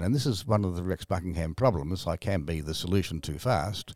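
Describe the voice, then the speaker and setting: The recording is very clean, with a silent background. A man with an Australian accent talks at a very fast pace. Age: 70s. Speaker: author. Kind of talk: interview. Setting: studio.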